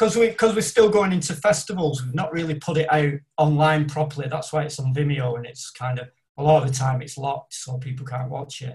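A man talks at a very fast pace in a somewhat breathy, fairly high voice, with ordinary pitch variation and big swings in loudness. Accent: northern English. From northern England. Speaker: independent filmmaker. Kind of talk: casual chat. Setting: video call.

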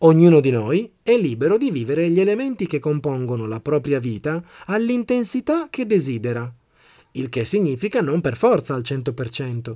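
A man speaks at a moderate pace with a fairly high pitch and a dark, mellow tone. His pitch swings very widely. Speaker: podcast host and motivational speaker. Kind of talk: scripted narration.

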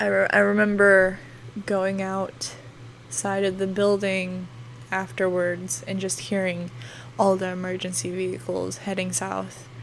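A woman with an American accent speaks at a fairly slow pace. The room echo is audible. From northwestern Oklahoma. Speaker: podcast host and meteorology student. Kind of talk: casual storytelling monologue. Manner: hesitant, many fillers.

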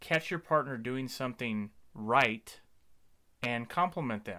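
On a very clean recording with a silent background, a man speaks in a bright, sharp tone at medium pitch. His pace is fairly slow and his pitch varies in an ordinary way. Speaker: podcast host. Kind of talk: scripted intro then casual conversation.

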